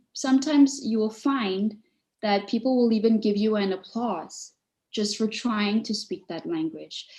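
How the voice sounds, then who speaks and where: At a fairly slow pace, a woman speaks with a somewhat breathy, fairly high-pitched voice. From Malaysia. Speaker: public speaking coach. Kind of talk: webinar Q&A advice.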